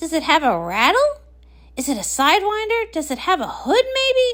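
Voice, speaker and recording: A woman puts on a character voice at an extremely high pitch, swinging very widely up and down. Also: moderate pace. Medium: read story. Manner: calm, composed.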